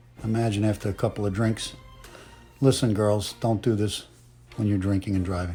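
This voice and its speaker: A man talks at a fairly quick pace in a fairly low pitch, his intonation fairly even, with music in the background. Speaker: comedic voiceover. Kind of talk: parody makeup tutorial voiceover. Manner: playful, joking.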